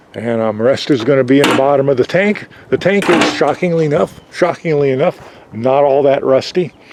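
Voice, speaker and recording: A man's fairly high, fairly quick voice with ordinary pitch variation and very even loudness, over noticeable background noise. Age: 60s. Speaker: DIY hobbyist vlogger. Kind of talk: tutorial. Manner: casual, hesitant with fillers.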